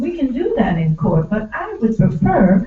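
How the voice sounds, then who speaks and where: Fairly slow speech from a woman with a fairly high pitch, over noticeable background noise. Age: 60s. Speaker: student speaking at public comment. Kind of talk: public comment at board hearing. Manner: emphatic.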